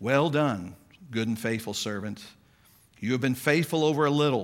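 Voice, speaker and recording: A man speaks in a plain, everyday voice with a medium pitch and lively intonation. The recording is very clean, with a silent background. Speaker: pastor. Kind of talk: sermon. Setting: church.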